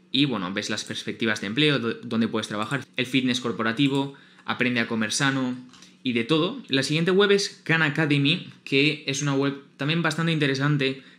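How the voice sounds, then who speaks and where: A man's fairly high, bright, sharp voice in a Spanish accent, at a moderate pace with ordinary pitch variation. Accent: Peninsular Spanish. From Spain. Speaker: YouTuber. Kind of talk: tutorial. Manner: informal.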